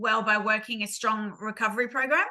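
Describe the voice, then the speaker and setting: A fairly quick delivery with an Australian accent and a bright, sharp tone. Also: woman. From Queensland, Australia. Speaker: lived experience speaker. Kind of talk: testimony. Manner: hesitant, many ums.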